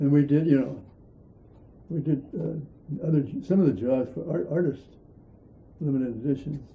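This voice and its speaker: Using a dark, mellow tone with vocal fry, a man speaks at a fairly high pitch and a moderate pace with ordinary pitch variation. Long, frequent pauses break up his speech. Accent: Inland North. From Pennsylvania, Erie. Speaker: artist. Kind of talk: interview. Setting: at home. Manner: halting.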